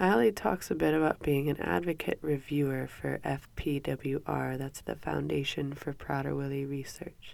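A woman talks at a moderate pace with few pauses, her pitch low and her tone nasal and slightly mellow. Vocal fry runs under fairly even intonation.

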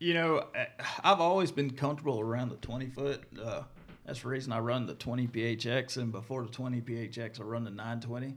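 A man with a Mississippi accent talking at a very fast pace. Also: medium pitch for a man, ordinary pitch variation. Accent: Southern US (Mississippi). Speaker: professional bass angler. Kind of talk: casual interview. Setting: studio.

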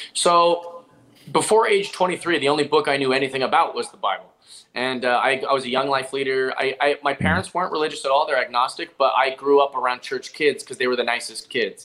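Speaking at a very fast pace, a man with a fairly high pitch has a bright, sharp tone. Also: ordinary pitch variation. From Seattle, US Pacific Northwest. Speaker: stand-up comedian. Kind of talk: casual interview chat.

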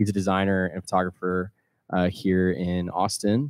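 In a normal speaking voice, a man with an American accent talks at a moderate pace with a fairly low pitch. The sound is dry and close with no echo, on a very clean recording with a silent background. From US Midwest, Missouri. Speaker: singer-songwriter. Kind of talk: casual interview chat. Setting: live show with audience.

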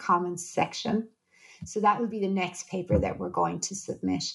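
A woman's voice with vocal fry and an Irish accent. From Ireland. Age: 40s. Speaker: psychologist and researcher. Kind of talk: interview conversation.

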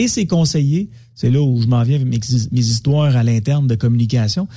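A man's normal speaking voice at a moderate pace with ordinary pitch variation. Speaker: media commentator. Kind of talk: casual radio chat.

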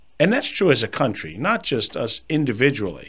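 In a very clean recording with a silent background, a man speaks at a moderate pace with a fairly high pitch, very wide pitch swings and vocal fry. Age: 50s. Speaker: financial advisor and podcast host. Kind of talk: solo podcast monologue.

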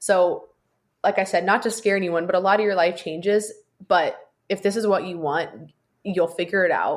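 A woman speaks in an ordinary speaking voice at a medium pitch, with fairly even intonation and a moderate pace. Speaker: former college athlete and aspiring sports broadcaster. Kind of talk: casual chat.

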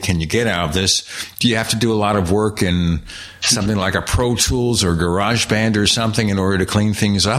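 A man talks with ordinary pitch variation. There is noticeable background noise. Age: old. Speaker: podcast host. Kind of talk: interview.

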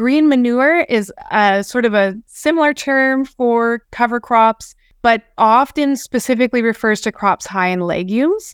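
A woman in a Canadian Prairies accent, lively in intonation, at a moderate pace, with a dry, close sound with no echo. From southern Alberta, Canada. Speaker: research scientist. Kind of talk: webinar presentation. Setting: webinar recording.

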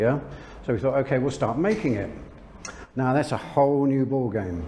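A man's fairly quick speech at a medium pitch. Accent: London. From London, England. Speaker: lingerie brand owner. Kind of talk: interview.

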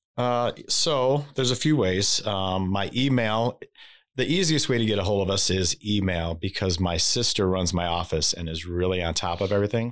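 The recording is very clean, with a silent background. A man with an unremarkable speaking voice talks at a fairly low pitch and a moderate pace, with ordinary pitch variation. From Michigan, St. Joseph area. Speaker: lawn care business owner. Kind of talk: interview.

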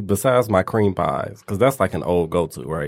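A plain, everyday voice moves along at a fairly quick pace, its intonation lively. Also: man. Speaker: podcast host. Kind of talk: casual chat, raunchy banter.

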